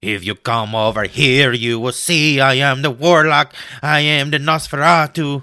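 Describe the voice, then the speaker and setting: A man's put-on character voice, fairly high in pitch, at a moderate pace on a very clean recording with a silent background. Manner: menacing.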